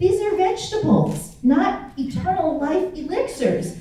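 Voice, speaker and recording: Against noticeable background noise, a woman's voice carries audible room echo. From US Midwest, Kansas City. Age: 60s. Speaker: inspirational speaker and author. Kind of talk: speech to a festival audience. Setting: stage with audience. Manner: animated.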